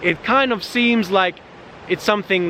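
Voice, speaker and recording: A non-native accent at a moderate pace, with ordinary pitch variation and noticeable background noise. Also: man. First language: not English. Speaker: vlogger, digital nomad. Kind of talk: casual outdoor vlog monologue. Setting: outdoors in nature. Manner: halting, many fillers.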